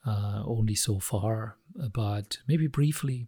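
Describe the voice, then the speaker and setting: A man's dark, mellow, somewhat breathy voice with a non-native accent and lively intonation, in a very clean recording with a silent background and a dry, close sound with no echo. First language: not English. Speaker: podcaster explaining concepts. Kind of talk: explanatory monologue. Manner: halting, hesitant with fillers.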